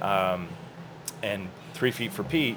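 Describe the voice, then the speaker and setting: Over noticeable background noise, a man talks with lively intonation at a fairly low pitch. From US South, Orlando, Florida. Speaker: cyclist, business owner. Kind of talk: casual chat. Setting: coffee shop.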